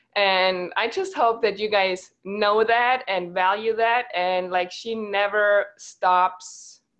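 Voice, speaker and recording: A woman speaks in a German accent at medium pitch. Her intonation is fairly even. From Germany. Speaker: network marketing team leader, former teacher. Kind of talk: online team call talk. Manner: occasional pauses to think.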